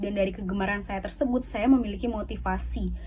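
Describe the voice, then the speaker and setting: Audible room echo surrounds a woman's somewhat breathy voice. She talks at a fairly quick pace. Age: 20s. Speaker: university student. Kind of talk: scripted self-presentation. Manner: formal.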